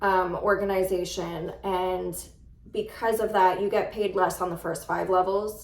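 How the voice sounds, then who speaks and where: A woman speaks with a New York accent at a fairly slow pace. Her intonation is monotone and flat, with audible room echo. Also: medium pitch for a woman. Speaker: real estate agent. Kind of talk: casual vlog talk to camera.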